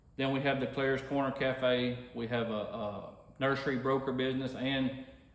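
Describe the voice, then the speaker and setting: Flat and monotone, a man speaks in a Louisiana accent. Audible room echo and noticeable background noise fill the recording. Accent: Southern US (Louisiana). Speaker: racing dad and vlogger. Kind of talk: casual chat. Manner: talkative.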